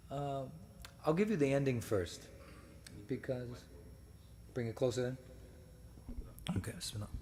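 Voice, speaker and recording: With an American accent, a man speaks at a medium pitch, somewhat breathy, his intonation lively, in a room with audible echo. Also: moderate pace. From United States. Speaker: speaker at religious gathering. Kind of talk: lecture. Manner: halting, many fillers.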